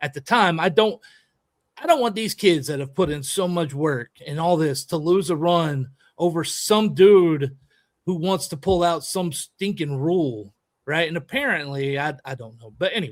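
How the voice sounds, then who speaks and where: A man speaks at a moderate pace in a fairly high register, his intonation lively and his loudness swinging widely. The recording is very clean, with a silent background. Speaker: podcast host; youth baseball coach. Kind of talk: casual chat. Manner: animated.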